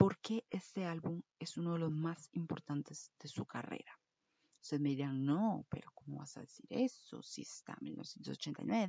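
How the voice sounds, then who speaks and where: A woman speaks at a fairly slow pace in an animated tone, somewhat breathy, with very wide pitch swings and big swings in loudness. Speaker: podcast host. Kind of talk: casual monologue.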